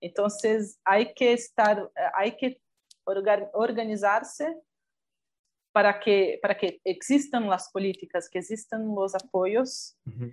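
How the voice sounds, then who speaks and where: A woman with a Portuguese accent, medium pitch and a very slow pace. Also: ordinary pitch variation. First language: Portuguese (speaking Spanish). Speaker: documentary filmmaker. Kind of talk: interview.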